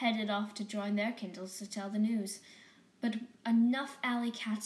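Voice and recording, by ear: A passage is read aloud in a natural voice.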